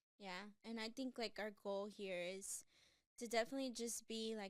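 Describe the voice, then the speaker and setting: An unremarkable speaking voice with an American accent. The pace is fairly slow and the intonation fairly even. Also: woman. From Texas, Houston. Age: 30s. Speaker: podcast co-host. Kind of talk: casual chat.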